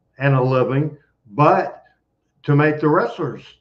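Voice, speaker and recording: A man with a Memphis accent speaks at a fairly high pitch. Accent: Southern US (Memphis). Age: 60s. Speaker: wrestling promoter. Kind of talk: podcast interview.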